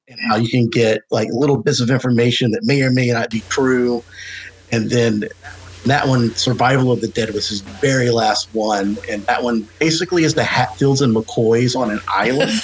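There is noticeable background noise as a man talks at a medium pitch with fairly even intonation. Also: moderate pace. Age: 40s. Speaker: horror podcast co-host, guest. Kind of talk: casual chat.

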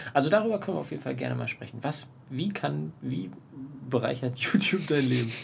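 Very wide pitch swings mark this very fast speech, heard over noticeable background noise. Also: man, medium pitch for a man. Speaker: podcast co-host. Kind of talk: casual chat. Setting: outdoors on a terrace. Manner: loud.

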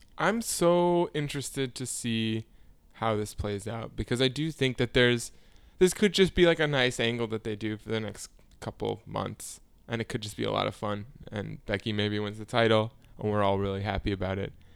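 A man speaks in a normal speaking voice at a moderate pace, with medium pitch and ordinary pitch variation. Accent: American. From Chicago area, Illinois. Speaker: podcast co-host. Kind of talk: casual chat.

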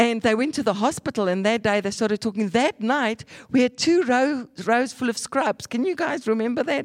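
Woman with a plain, everyday voice, fairly high pitch, ordinary pitch variation, moderate pace with hardly any pauses, dry and close sound with no echo. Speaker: evangelist preacher. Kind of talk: sermon.

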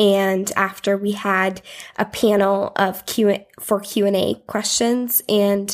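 With an Upper Midwest accent, a woman speaks at a medium pitch in monotone, flat intonation. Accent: Upper Midwest American. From US Midwest, South Dakota. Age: 20s. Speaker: tax accountant, visitor on a mission trip. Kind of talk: casual interview chat. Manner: hesitant, many fillers.

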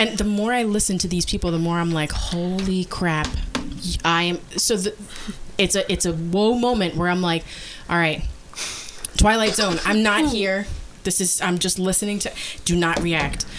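A woman at a moderate pace with long, frequent pauses, over noticeable background noise. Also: medium pitch for a woman, ordinary pitch variation. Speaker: podcast host. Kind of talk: casual chat, bantering patter like a radio DJ. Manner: bubbly, chatty, hosty.

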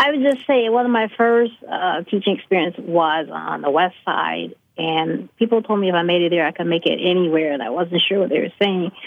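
A woman's fairly low voice with an American accent, lively intonation and a fairly quick pace. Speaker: special education science teacher. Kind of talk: panel discussion. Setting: remote call from Chicago.

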